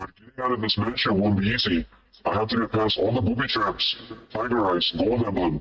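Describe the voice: Ordinary pitch variation in plain reading aloud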